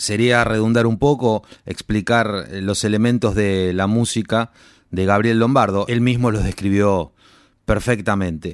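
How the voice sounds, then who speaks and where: A man with an ordinary speaking voice speaks at a fairly low pitch and a fairly slow pace. His intonation is fairly even, his loudness very even, and the recording very clean with a silent background. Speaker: radio host. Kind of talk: radio presenting.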